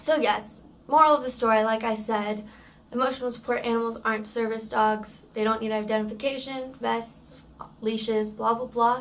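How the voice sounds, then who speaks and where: Monotone, flat delivery at a moderate pace, with audible room echo. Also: woman, fairly high pitch for a woman. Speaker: service dog handler vlogger. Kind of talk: vlog rant. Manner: loud; halting, repeats words.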